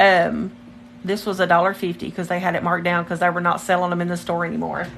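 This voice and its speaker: Her voice is medium in pitch. Noticeable background noise surrounds this woman as she speaks. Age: 40s. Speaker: nail technician livestreaming her work. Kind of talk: casual livestream chat. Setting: home livestream.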